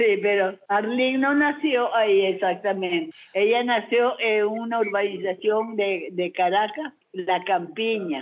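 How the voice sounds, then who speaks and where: A woman's fairly high pitch at a very slow pace, with very even loudness and ordinary pitch variation. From Curaçao. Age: 90s. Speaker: grandmother. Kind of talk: family interview.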